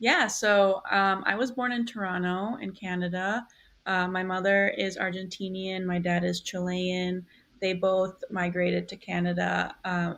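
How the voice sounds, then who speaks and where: A woman talks at a fairly slow pace. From US Midwest, Milwaukee, Wisconsin. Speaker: newspaper design editor. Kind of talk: interview.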